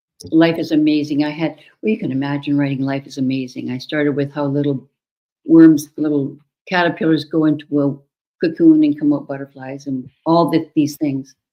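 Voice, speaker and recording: A woman speaks in a very deep, low voice at a fairly quick pace. Her intonation stays fairly even. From Canada, northern Alberta. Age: 70s. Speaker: children's author. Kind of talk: interview.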